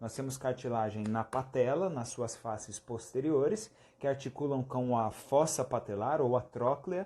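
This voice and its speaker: This man's voice has a dark, mellow tone. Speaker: physiotherapy teacher. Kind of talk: live-stream lecture. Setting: Instagram live stream.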